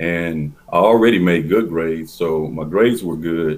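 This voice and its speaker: A man with an Oklahoma accent speaks at a moderate pace. His pitch is very deep and low, with ordinary variation. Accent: Oklahoma rural. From southeastern Oklahoma, rural. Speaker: former athlete. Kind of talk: interview storytelling.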